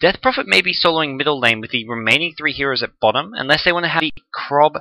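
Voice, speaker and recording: Very fast and in an Australian accent, a man speaks with a bright, sharp tone and ordinary pitch variation, the sound dry and close with no echo. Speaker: esports commentator. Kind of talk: live commentary.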